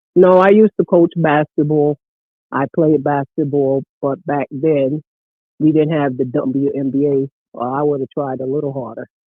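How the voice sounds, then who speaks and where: This man has a normal speaking voice, fairly high in pitch, with fairly even intonation and a moderate pace. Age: 60s. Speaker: caller, former basketball coach. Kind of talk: casual chat. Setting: phone call.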